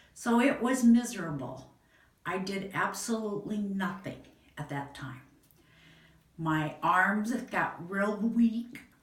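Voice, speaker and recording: Audible room echo surrounds a woman with a Midwestern US accent and a medium pitch. She speaks at a very slow pace with very wide pitch swings. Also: long, frequent pauses, big swings in loudness. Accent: US Midwest. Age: 60s. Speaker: patient. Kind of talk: testimony. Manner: halting.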